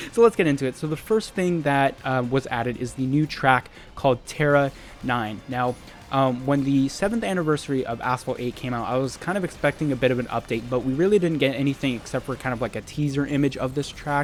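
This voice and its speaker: A man with a fairly high pitch and ordinary pitch variation talks at a very fast pace while music plays in the background. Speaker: gaming youtuber. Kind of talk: gameplay commentary. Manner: loud; animated.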